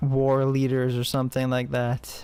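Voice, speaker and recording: A man's voice at a medium pitch. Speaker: gaming video commentator. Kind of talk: casual game review commentary. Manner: monotone.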